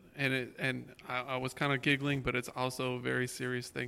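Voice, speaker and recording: In an American accent, a man of medium pitch with a bright, sharp tone speaks at a moderate pace. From Florida. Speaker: music and drama teacher. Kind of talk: panel discussion at church service.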